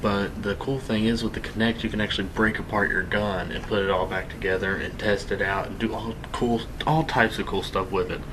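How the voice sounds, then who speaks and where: Against noticeable background noise and audible room echo, a man talks quietly and fairly quickly at a fairly low pitch. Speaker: gaming youtuber. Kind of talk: gameplay commentary. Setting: home, late at night. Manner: quiet, hushed; casual, rambling with fillers.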